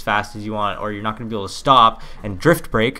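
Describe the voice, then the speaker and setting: A man's bright, sharp tone at a very fast pace. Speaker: gaming YouTuber. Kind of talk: gameplay tutorial commentary. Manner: casual, filler-heavy.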